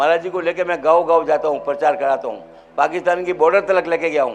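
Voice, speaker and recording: A man talks in a high voice at a moderate pace. His intonation stays fairly even. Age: 80s+. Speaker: hospital founder and devotee speaking at religious event. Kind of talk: public speech at religious event.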